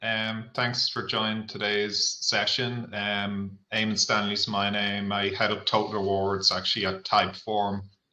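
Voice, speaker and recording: A man speaks with an Irish accent, his pitch fairly low. His pace is fairly slow, with hardly any pauses. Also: fairly even intonation. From Ireland. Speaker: head of total rewards. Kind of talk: webinar panel discussion.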